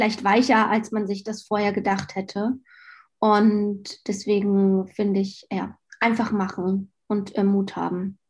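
Somewhat breathy speech comes at a very slow pace in a monotone, flat intonation, on a very clean recording with a silent background. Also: woman, medium pitch for a woman. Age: 30s. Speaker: marketing executive at an online magazine. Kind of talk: interview.

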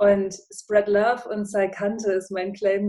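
A woman's dark, mellow voice at a medium pitch, very slow and monotone with flat intonation. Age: 30s. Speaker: podcaster and former radio presenter. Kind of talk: casual interview.

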